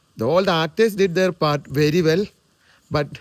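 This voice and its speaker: A man speaks at a high pitch and a moderate pace. The sound is dry and close, with no echo. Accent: Keralan. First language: Malayalam. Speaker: movie reviewer. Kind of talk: movie review monologue. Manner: halting, with filler sounds.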